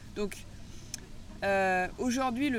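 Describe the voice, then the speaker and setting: With audible room echo around her, a woman speaks very slowly at a fairly high pitch. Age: 30s. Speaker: agroecology school founder and former agricultural teacher. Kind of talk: interview. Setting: outdoors by the sea.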